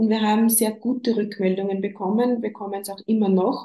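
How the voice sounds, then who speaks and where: Somewhat breathy with a dark, mellow tone, a woman speaks at a fairly high pitch and a fairly quick pace. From Upper Austria. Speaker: bereaved mother, counsellor in training. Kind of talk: interview about grief.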